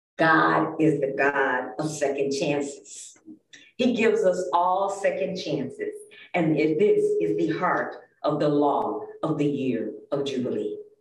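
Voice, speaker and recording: A woman speaks at a very slow pace, her pitch very deep and low. Her intonation is lively, and audible room echo surrounds her voice. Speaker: lay preacher. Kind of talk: sermon. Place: church.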